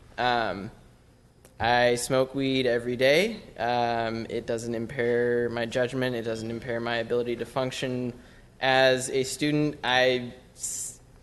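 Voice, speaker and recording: Very slow and monotone with flat intonation, the speech carries audible room echo. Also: man, medium pitch for a man. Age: 20s. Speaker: public commenter, student. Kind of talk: public comment at council meeting. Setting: city council chamber.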